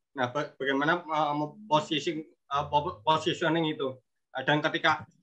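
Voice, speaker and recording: The background is quiet. A man talks at a moderate pace with fairly even intonation. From Indonesia. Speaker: craft business owner. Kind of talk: Q&A question. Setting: video call. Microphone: video call.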